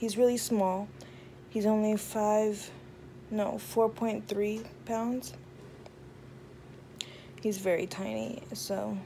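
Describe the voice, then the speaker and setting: A woman speaks in a dark, mellow, tired tone with fairly even intonation and long, frequent pauses. Light background noise sits behind her. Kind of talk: casual vlog chat. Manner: slow, heavy-lidded tired voice. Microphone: phone near.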